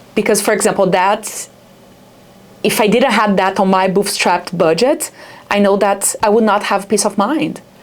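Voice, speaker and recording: Speaking with a Brazilian accent, a woman keeps a moderate pace and medium pitch. Her loudness is very even and her intonation fairly even. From Brazil, Rio de Janeiro. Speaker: startup founder. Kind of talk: interview. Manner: halting, many fillers.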